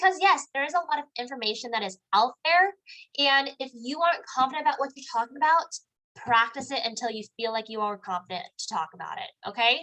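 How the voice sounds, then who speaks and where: At a fairly quick pace, a woman speaks in a raised, projected voice that is high and bright with a sharp edge, swinging very widely in pitch and making big swings in loudness. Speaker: network marketing trainer. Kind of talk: live online training. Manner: casual, filler-heavy; fast.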